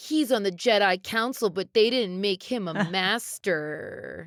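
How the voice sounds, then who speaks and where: A female-sounding put-on character voice comes out whiny at a medium pitch. The pace is fairly slow. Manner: complaining.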